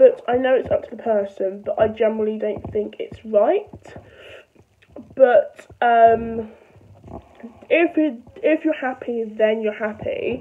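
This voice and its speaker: A woman speaks at a very slow pace with long, frequent pauses and big swings in loudness. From London. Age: young. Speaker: vlogger. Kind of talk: casual talk to camera.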